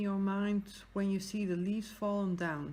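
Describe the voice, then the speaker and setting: Somewhat breathy, a woman with a Dutch accent speaks at a medium pitch with monotone, flat intonation. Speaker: craft YouTuber. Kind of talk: casual chat. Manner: hesitant.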